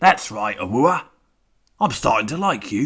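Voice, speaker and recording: This put-on character voice is gruff and growling. Its pitch swings very widely. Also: man. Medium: read story. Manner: gruff, growling, threatening.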